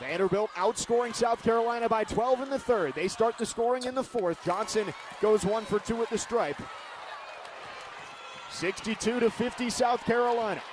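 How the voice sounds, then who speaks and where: Someone speaks at a moderate pace against noticeable background noise. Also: man, extremely high pitch for a man, ordinary pitch variation. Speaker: sports play-by-play broadcaster. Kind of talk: sports play-by-play commentary. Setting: radio broadcast, basketball arena.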